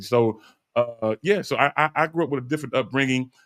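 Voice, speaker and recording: There's an unremarkable speaking voice here, a man's, with lively intonation at a fairly quick pace. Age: 50s. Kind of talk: casual chat.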